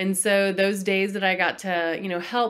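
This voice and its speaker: A woman with an American accent speaks at a moderate pace, her medium-pitched voice keeping a fairly even intonation. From Texas. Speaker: executive coach and author. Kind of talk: interview.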